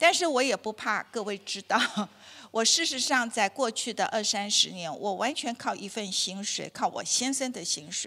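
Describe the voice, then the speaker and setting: At a moderate pace, a woman with a fairly high voice speaks in a bright, sharp tone with lively intonation. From Taiwan. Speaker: dietitian giving a health talk; health lecturer. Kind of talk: lecture. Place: hall. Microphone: handheld.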